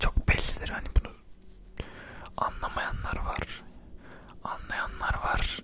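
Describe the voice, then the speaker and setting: Very slow whispering from a man, with noticeable background noise underneath. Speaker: ASMR content creator. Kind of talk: casual talk to camera, opinion commentary.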